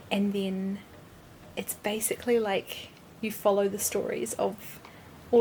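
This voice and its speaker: In a New Zealand accent, a woman talks fairly slowly at a medium pitch with ordinary pitch variation. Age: 20s. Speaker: lifestyle vlogger. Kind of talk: casual talk to camera. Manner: chatty.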